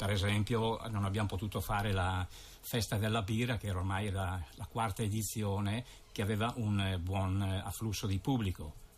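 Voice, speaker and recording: A man talks at a moderate pace and a fairly low pitch, somewhat breathy and in a flat monotone, with light background noise behind him. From Lombardy, northern Italy. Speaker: president of a local tourist association. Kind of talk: casual radio interview. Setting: radio studio. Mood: calm, matter-of-fact. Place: studio.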